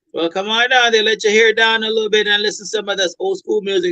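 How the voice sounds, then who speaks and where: Raised and projected, a man's high-pitched voice has a bright, sharp tone with ordinary pitch variation. The sound is dry and close, with no echo. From Jamaica. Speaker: restaurant owner. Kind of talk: interview.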